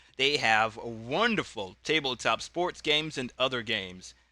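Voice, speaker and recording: The voice has a bright, sharp tone and ordinary pitch variation at a moderate pace. It is captured in a very clean recording with a silent background. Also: man. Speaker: YouTuber playing tabletop wrestling game. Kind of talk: solo tabletop play commentary. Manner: loud.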